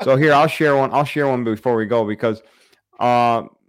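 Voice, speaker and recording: In a very clean recording with a silent background, a man with an American accent and an ordinary speaking voice talks at a fairly quick pace, with medium pitch and ordinary pitch variation. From Michigan, the Thumb. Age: 30s. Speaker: hunting YouTuber and live stream host. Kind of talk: casual live-stream interview.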